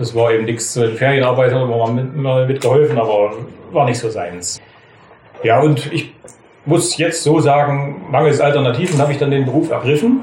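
There is noticeable background noise and audible room echo as a man speaks at a moderate pace with a fairly high pitch and ordinary pitch variation. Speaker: master butcher. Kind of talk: storytelling interview.

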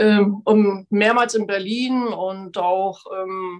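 The speaker is a woman. Her voice falls at a medium pitch. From Frankfurt (Oder), East Germany. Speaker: amateur athlete, marathon runner. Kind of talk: storytelling in online salon. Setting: video call.

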